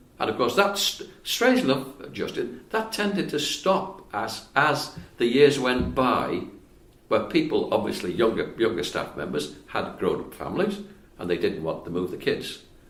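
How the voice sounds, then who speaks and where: A man at a moderate pace, with audible room echo. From Wales. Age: 80s+. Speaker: retired civil engineer. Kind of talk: casual interview conversation.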